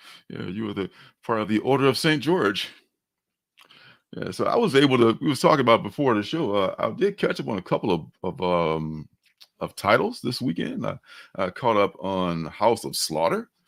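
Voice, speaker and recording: On a very clean recording with a silent background, a man with a slight Mississippi accent talks at a moderate pace, his medium pitch swinging very widely. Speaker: comics livestream host. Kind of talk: casual chat. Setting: livestream.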